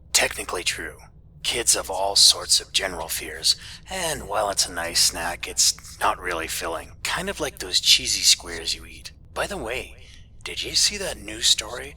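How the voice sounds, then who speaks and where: A man puts on a raspy character voice, raised and projected. He keeps a moderate pace over light background noise. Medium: read story. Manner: casual, chatty, sarcastic.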